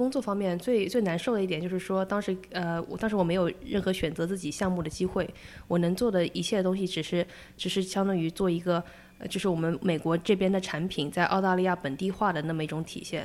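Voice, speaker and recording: A medium-pitched woman at a very fast pace, with ordinary pitch variation. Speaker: product designer. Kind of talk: interview conversation. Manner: halting, many fillers.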